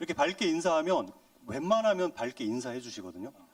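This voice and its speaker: This man talks at a fairly quick clip, his pitch swinging very widely. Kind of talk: friendly, polite. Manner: bright, cheerful greeting.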